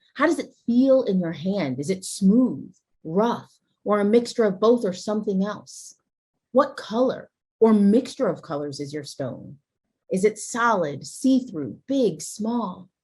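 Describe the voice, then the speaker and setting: At a fairly slow pace, a woman speaks at medium pitch with very wide pitch swings, a somewhat breathy sound, a dark, mellow tone and a calm, warm tone. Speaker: guest TV host. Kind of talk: guided imagery ritual and show hosting.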